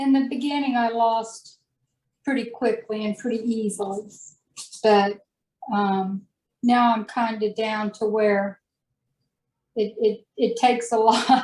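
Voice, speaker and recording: A somewhat breathy woman at a fairly high pitch, flat and monotone, with long, frequent pauses. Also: fairly slow pace. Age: 60s. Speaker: diet success story guest. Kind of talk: interview. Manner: hesitant, halting.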